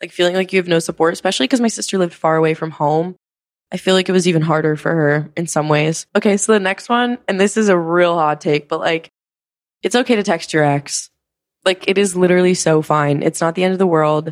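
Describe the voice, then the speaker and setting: Speaking at a very fast pace with an American accent, a woman uses a fairly low pitch and ordinary pitch variation. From rural suburban area, US. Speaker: podcast host, social media influencer. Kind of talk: casual monologue. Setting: home studio, filmed on camera. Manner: animated.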